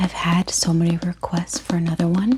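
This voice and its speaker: A soft-spoken woman talks at a fairly low pitch. Noticeable background noise runs underneath. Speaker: book content creator. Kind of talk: ASMR book unboxing.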